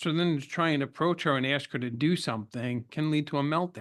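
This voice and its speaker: With an American accent, a man talks at a fairly quick pace and a fairly high pitch, with ordinary pitch variation over a quiet background. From New York. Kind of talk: interview conversation.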